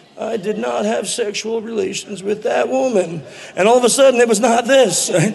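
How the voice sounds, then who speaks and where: Over noticeable background noise, a man speaks at a fairly quick pace. He has an American accent and ordinary pitch variation. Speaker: conference speaker. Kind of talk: lecture. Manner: animated.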